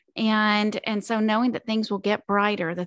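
A woman's normal speaking voice, fairly high in pitch with ordinary pitch variation, in a dry, close sound with no echo and a quiet background. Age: 50s. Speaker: life coach. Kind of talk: interview.

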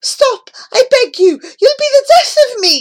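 At a fairly slow pace, someone uses a put-on character voice with extremely high pitch. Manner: begging, crying out.

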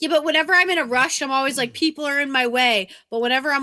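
A woman with a New England accent speaks at a very fast pace in a bright, sharp tone. Her pitch varies in an ordinary way on a very clean recording with a silent background. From Massachusetts. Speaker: podcast host. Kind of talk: casual banter, profane. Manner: playful, bantering.

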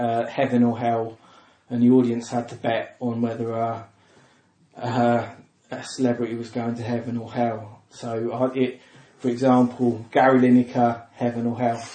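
A man with a southern English accent speaks at a medium pitch and a moderate pace. His intonation is monotone and flat. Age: 40s. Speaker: comedian. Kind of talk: casual chat.

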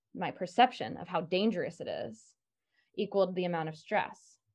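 A woman with an American accent, speaking at a fairly slow pace over a quiet background. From rural Maryland, US. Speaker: stress management coach. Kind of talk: podcast interview.

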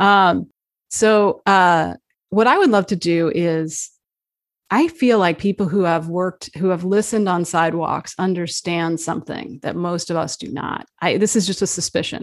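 A woman with an American accent uses an ordinary speaking voice, fairly low in pitch. She keeps a moderate pace on a very clean recording with a silent background. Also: ordinary pitch variation. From New Jersey. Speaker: journalist and author. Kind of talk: interview. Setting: live video stream.

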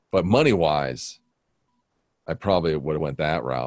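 This man talks at a moderate pace with lively intonation. His voice carries vocal fry. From Wyoming (Buffalo), raised partly in Las Vegas. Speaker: television news director. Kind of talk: casual chat.

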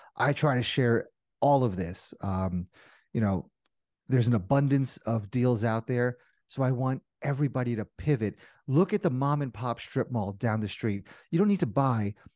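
An ordinary speaking voice, a man's at medium pitch, moves at a moderate pace with lively intonation, the sound dry and close with no echo over a quiet background. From New Jersey. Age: 40s. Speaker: commercial real estate investor. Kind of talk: interview.

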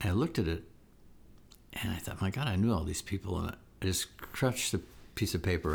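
On a very clean recording with a silent background, a man with a very deep, low, somewhat breathy voice talks at a very fast pace with ordinary pitch variation. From Israel. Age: 70s. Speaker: podcast co-host, filmmaker. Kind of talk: casual chat.

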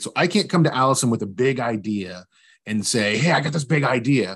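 A man with a medium-pitched voice and lively intonation, over a quiet background. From West Virginia. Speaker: business owner. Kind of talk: interview.

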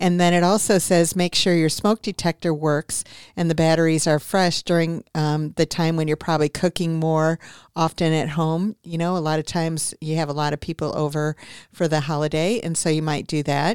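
Recorded with a dry, close sound and no echo, a woman has an unremarkable speaking voice set at a fairly low pitch. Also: moderate pace. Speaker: radio host, real estate agent. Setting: radio studio. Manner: brisk, friendly, fluent patter with some filler 'um'.

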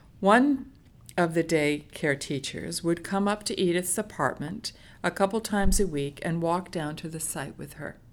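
Her pitch fairly low, a woman speaks at a moderate pace with lively intonation and big swings in loudness. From United States. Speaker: social worker. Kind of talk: storytelling, reading a case study. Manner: halting.

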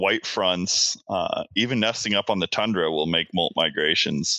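With a normal speaking voice, a man talks at a fairly slow pace. His intonation is lively. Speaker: PhD student in wildlife ecology, waterfowl photographer. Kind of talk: casual interview chat.

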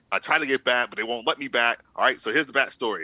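Bright, sharp tone from a man at medium pitch. The sound is dry and close, with no echo. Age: 20s. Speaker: podcast panelist. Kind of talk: casual chat.

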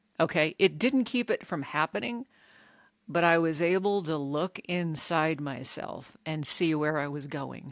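A woman with a very deep, low pitch speaks at a fairly slow pace in a very clean recording with a silent background. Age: 50s. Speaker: recovery podcast host and coach. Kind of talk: solo podcast talk with scripture reading.

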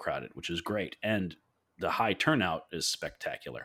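With lively intonation, a man speaks at a very deep, low pitch. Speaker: podcast host. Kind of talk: casual chat.

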